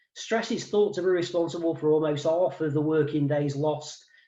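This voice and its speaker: Somewhat breathy and dark, mellow in tone, a man with a slight East Midlands accent speaks at a fairly quick pace with ordinary pitch variation. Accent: slight East Midlands twang. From England, Mansfield, Nottinghamshire. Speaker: wellbeing consultant. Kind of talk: webinar presentation. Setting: video call. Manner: hesitant, many fillers.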